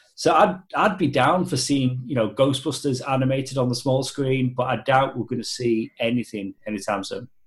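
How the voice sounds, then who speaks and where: A somewhat breathy man speaks at a moderate pace with hardly any pauses. His pitch varies in an ordinary way. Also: medium pitch for a man. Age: 30s. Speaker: film fan guest. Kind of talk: casual chat.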